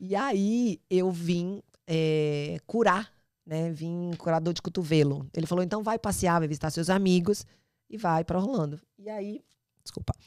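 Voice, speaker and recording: A woman at a fairly slow pace and fairly low pitch, animated in tone with ordinary pitch variation, in a dry, close sound with no echo and a very clean recording with a silent background. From Bahia, Brazil (Salvador). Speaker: travel industry professional, immigrant. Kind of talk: podcast interview storytelling.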